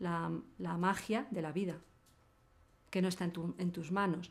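In a monotone, flat intonation, a woman talks at a fairly slow pace. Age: 50s. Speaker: hacker and activist; interviewee. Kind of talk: interview. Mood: reflective, thoughtful. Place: studio.

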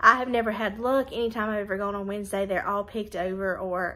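A woman speaks at a fairly quick pace. Her intonation stays fairly even. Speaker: lifestyle vlogger. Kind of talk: casual vlog chat. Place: home room. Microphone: phone near.

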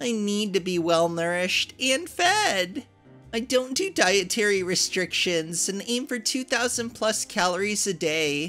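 A woman speaks at a fairly slow pace with lively intonation. Music plays in the background. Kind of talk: reading a post aloud, character voice.

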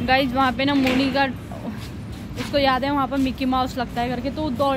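A woman at a moderate pace, dry with no echo, over noticeable background noise. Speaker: family vlogger. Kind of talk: casual vlog chat. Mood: slightly nervous, cheerful. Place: hall. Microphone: phone near.

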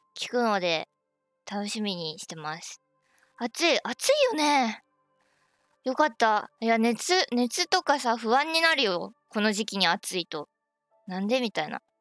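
A woman speaks at a very slow pace, with big swings in loudness. Faint music plays behind her in a dry sound with no echo. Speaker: game streamer. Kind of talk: casual live stream chat. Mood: excited, cheerful. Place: home room.

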